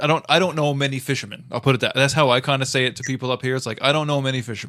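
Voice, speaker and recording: With a bright, sharp tone, a man talks at a very fast pace, keeping a medium pitch and fairly even intonation. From Central Newfoundland, Botwood. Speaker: podcast host. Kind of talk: casual podcast chat.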